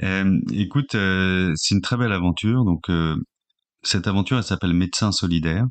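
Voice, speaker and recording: A man speaks at a very deep, low pitch with very even loudness throughout. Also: ordinary pitch variation, fairly quick pace. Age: 40s. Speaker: social entrepreneur. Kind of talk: interview. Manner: halting, many fillers and repetitions.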